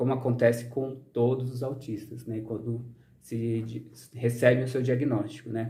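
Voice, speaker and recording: A man speaks at a fairly slow pace with a medium-pitched, dark, mellow, somewhat breathy voice. There is audible echo in the room. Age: 30s. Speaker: social scientist and vlogger. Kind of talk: personal vlog monologue. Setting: outdoors in the sun. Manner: frequent fillers, hesitant.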